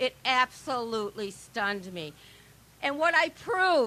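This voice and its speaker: A woman uses a raised, projected voice at a fairly slow pace. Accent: American. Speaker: election integrity activist. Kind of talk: rally speech. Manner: animated.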